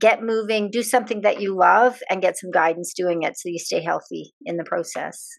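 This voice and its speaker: In an ordinary speaking voice, a woman talks at a moderate pace and medium pitch, with ordinary pitch variation, big swings in loudness and hardly any pauses. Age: 60s. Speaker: podcast co-host. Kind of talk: casual chat.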